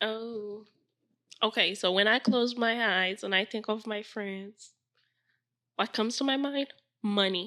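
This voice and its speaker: A woman's bright, sharp, fairly high voice at a fairly slow pace, fairly even in intonation, with long, frequent pauses against a quiet background. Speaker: podcast host. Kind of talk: casual chat.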